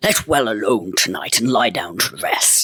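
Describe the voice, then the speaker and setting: A man puts on a booming, growling character voice at a medium pitch. He keeps a moderate pace. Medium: read story. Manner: archaic thee-and-thou speech, growling into his beard.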